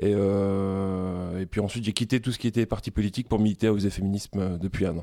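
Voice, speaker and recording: A man's dark, mellow voice pitched fairly low. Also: very clean recording, silent background. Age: 20s. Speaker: feminist activist, job-seeking bookseller. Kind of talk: interview. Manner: halting.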